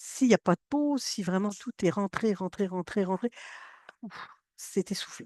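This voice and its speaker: Pausing long and often, a woman speaks at a medium pitch in an animated tone with ordinary pitch variation, the sound dry and close with no echo against a quiet background. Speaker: science communication trainer. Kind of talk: workshop training. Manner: fast.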